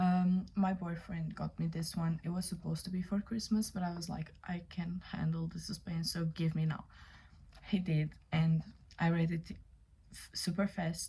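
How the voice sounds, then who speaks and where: A woman with a non-native accent speaks in a fairly low, dark, mellow tone. Her voice is somewhat breathy and monotone, with flat intonation. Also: moderate pace. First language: not English. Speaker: book reviewer. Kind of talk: casual book review vlog. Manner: casual, many fillers.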